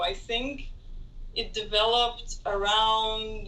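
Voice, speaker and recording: A woman's raised, projected voice with very wide pitch swings and audible room echo. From Israel, Tel Aviv. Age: 20s. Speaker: international student. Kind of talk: interview.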